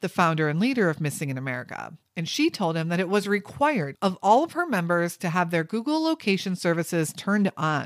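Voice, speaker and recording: A woman with an ordinary speaking voice talks at a fairly low pitch with lively intonation on a very clean recording with a silent background. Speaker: true crime podcaster. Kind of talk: true-crime narration. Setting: podcast recording. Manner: measured, serious storytelling tone; steady, even pacing, reporting facts.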